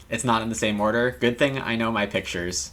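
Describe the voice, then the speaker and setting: A man talks in a bright, sharp tone. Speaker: game streamer. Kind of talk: casual livestream commentary. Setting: live stream with chat. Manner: soft-spoken, quieter to save voice.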